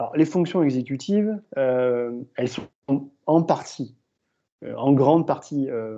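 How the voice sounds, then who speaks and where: A man's fairly high voice with a dark, mellow tone, against a quiet background. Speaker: exercise physiology professor. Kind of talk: lecture Q&A answer.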